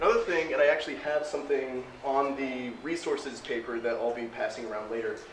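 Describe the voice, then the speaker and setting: Over noticeable background noise and audible room echo, a man talks at a fairly quick pace with hardly any pauses. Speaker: 3D printing presenter. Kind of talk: presentation to audience. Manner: fast.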